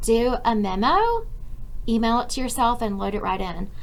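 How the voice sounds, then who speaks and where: A high-pitched woman speaks with lively intonation. The room echo is audible, and there is noticeable background noise. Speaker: college instructor. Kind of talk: recorded class tutorial. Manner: fast.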